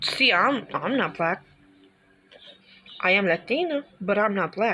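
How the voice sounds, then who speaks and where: A woman with an American accent talks at a fairly slow pace and medium pitch, her intonation lively and her loudness very even. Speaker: reaction video youtuber. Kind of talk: casual reaction commentary. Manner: animated.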